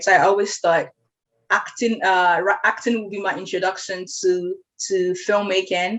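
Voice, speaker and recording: A woman speaks with a Nigerian accent. Her pitch is medium. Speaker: podcast host. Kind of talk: casual conversation. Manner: fast.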